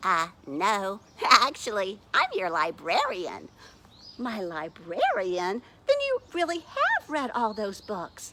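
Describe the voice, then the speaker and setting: A woman speaks in a put-on character voice, raised and projected, at a medium pitch. Her pace is fairly slow. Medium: read story.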